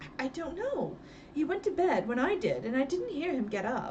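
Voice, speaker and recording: Putting on a character voice, a woman talks at a moderate pace in a high pitch with very wide pitch swings, against clear background noise. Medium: read story. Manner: nervous, flustered.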